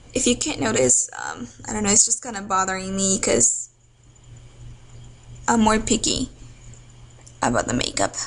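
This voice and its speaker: Pitch swings very widely, broken up by long, frequent pauses. Background noise is noticeable. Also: woman, medium pitch for a woman, moderate pace. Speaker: beauty vlogger. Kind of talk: tutorial. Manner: casual, halting with fillers.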